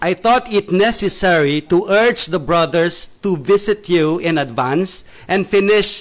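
A man with a Filipino accent and a high pitch with ordinary variation speaks at a fairly slow pace over noticeable background noise. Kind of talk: casual church discussion. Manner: halting, hesitant.

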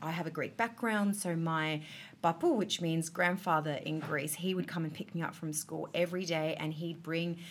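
A woman's fairly low voice in an Australian accent, at a moderate pace. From Australia, Adelaide. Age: 30s. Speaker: artist and designer. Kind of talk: casual chat. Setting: restaurant.

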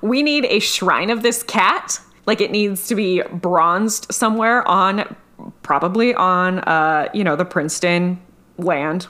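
At medium pitch and a fairly slow pace, a woman speaks in a bright, sharp tone with ordinary pitch variation and very even loudness. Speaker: podcast host. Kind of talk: casual chat. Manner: animated, jokey.

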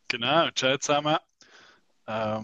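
In a dry, close sound with no echo, a man speaks fairly slowly at a medium pitch, his tone bright and sharp and his pitch variation ordinary. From Switzerland, Basel region. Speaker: unihockey youth coach, podcast co-host. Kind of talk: casual chat.

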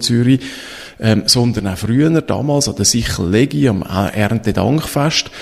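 A man speaks against noticeable background noise. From Switzerland, Eglisau (canton of Zurich). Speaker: podcast host, storytelling consultant. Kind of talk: interview.

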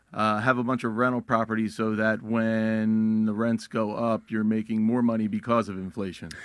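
Pitched at a medium level, a man talks at a moderate pace with monotone, flat intonation and hardly any pauses. The background is quiet. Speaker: marketing director. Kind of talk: casual banter on radio.

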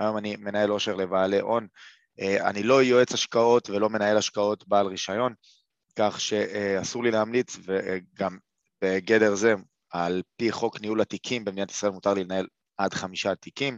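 A man speaks with a fairly low pitch and monotone, flat intonation. The sound is dry and close with no echo, over a quiet background. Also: moderate pace. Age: 30s. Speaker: investment educator. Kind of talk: webinar lecture. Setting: live webinar. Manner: halting, many fillers.

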